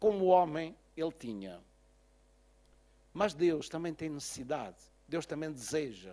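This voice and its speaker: A man with a fairly high voice speaks at a moderate pace on a very clean recording with a silent background. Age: 60s. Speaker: pastor. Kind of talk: sermon. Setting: church.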